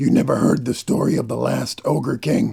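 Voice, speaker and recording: A man puts on a character voice. It comes out raspy, gruff and growling. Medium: audio drama. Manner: terse, grave, commanding.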